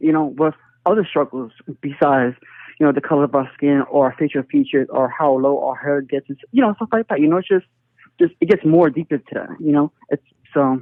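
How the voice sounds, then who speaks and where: A man with a Philadelphia accent speaks fairly quickly at a fairly high pitch, with ordinary pitch variation. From North Philadelphia. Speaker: interviewee, local resident. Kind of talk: casual interview. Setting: phone call.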